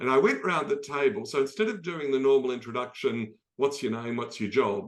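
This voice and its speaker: A man with an Australian accent speaks at a fairly quick pace. His pitch is fairly high and his intonation lively. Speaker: optimism expert and speaker. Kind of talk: talk in an online dialogue. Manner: conversational, many fillers.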